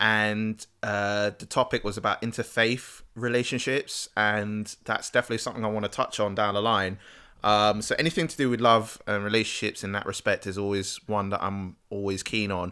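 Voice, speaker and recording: In a very clean recording with a silent background, a man with a British accent speaks at a moderate pace, his bright, sharp tone set at a fairly low pitch with fairly even intonation. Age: 30s. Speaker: podcast co-host. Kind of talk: casual chat.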